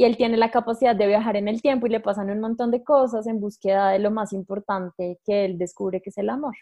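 A woman with an unremarkable speaking voice talks at a fairly high pitch, with ordinary pitch variation. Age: 20s. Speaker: astrologer. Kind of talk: casual interview.

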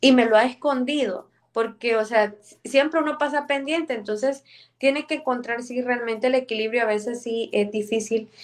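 In an ordinary speaking voice, the speaker talks at a moderate pace with ordinary pitch variation. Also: woman. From El Salvador. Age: 30s. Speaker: mayor. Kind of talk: interview.

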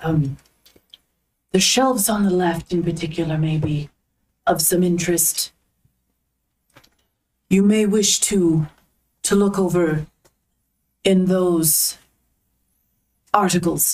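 A put-on, female-sounding character voice at a middle pitch, very slow pace and long, frequent pauses. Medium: actual play. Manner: polite, formal.

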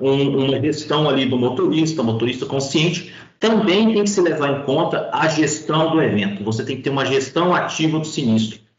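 A man speaks with lively intonation in a fairly high pitch. Audible room echo surrounds his voice. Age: 40s. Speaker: road safety and claims specialist, retired highway police officer. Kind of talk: podcast interview.

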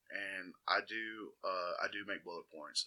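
A man with an Alabama accent. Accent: US Southern (Alabama). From Alabama, Walker County (Jasper). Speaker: DJ. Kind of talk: casual interview chat.

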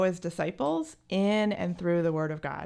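In a plain, everyday voice, a woman with an American accent speaks at a moderate pace and medium pitch on a very clean recording with a silent background. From New Jersey. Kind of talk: interview.

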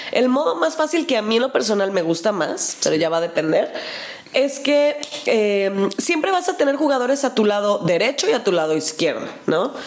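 A woman speaks at a moderate pace with a Mexican accent. Background noise is noticeable. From Mexico. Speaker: board game podcast co-host. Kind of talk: casual chat. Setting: video podcast.

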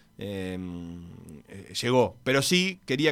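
A man's bright, sharp voice with very wide pitch swings, on a very clean recording with a silent background. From Uruguay (raised), born in Buenos Aires. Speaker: sports journalist and author. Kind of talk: radio interview. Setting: radio studio.

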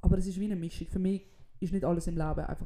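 Speaking at a very fast pace, a woman has a fairly low pitch and a dark, mellow tone. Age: 20s. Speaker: comedian and podcast co-host. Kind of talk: casual chat. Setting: in a friend's apartment.

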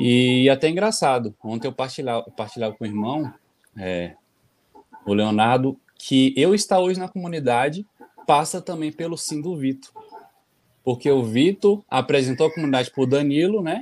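He speaks at a moderate pace, with lively intonation and a fairly high pitch for a man. Long, frequent pauses break up this man's speech. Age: 30s. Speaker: community postulant. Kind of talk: testimony.

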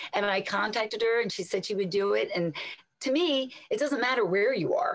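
Fairly quick speech from a woman with an American accent and a fairly high pitch. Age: 50s. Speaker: health radio host and fitness instructor. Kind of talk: casual interview. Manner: animated.

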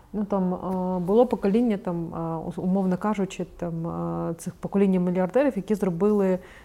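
A woman's dark, mellow voice at medium pitch, with fairly even intonation and a moderate pace, in a very clean recording with a silent background. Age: 30s. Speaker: newspaper editor-in-chief. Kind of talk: interview. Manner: halting.

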